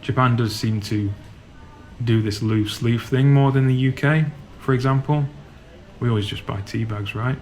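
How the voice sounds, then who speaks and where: Speaking in a Yorkshire accent, a man uses a medium pitch and fairly even intonation at a moderate pace, with long, frequent pauses. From Yorkshire, northern England. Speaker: travel vlogger. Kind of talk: guided walking tour vlog. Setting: inside a supermarket. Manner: casual, relaxed.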